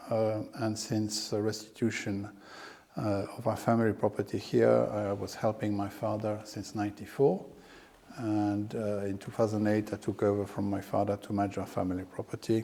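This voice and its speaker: A man speaks at a moderate pace. His tone is dark and mellow, and his intonation is monotone and flat. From France. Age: 60s. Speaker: landowner and financier. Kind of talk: interview. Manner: hesitant, many fillers.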